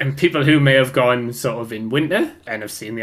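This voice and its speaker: Very fast speech in a Geordie accent. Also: man. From Newcastle, north-east England. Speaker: podcast co-host. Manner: chatty, casual.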